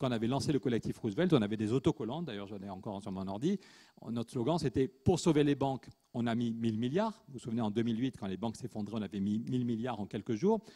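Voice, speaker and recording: A man with a dark, mellow tone and medium pitch talks at a very fast pace with ordinary pitch variation. The sound is dry and close with no echo, and his loudness swings widely. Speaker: economist and activist author. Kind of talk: conference panel talk. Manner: animated.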